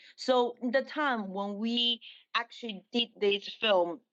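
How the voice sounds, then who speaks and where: A woman with a Chinese accent and fairly even intonation, over a quiet background. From China. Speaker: dancer and actress. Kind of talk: interview. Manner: halting.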